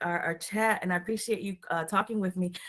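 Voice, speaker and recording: In a Puerto Rican accent, a woman speaks with a bright, sharp tone and fairly even intonation. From Puerto Rico. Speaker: show host. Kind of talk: casual interview chat. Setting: call.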